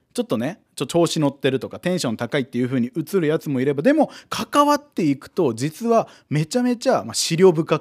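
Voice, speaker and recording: A man speaks with hardly any pauses, in a dry, close sound with no echo. His pitch swings very widely and his loudness shifts a great deal. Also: fairly high pitch for a man, fairly quick pace, very clean recording, silent background. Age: 20s. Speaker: comedian. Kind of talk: casual chat.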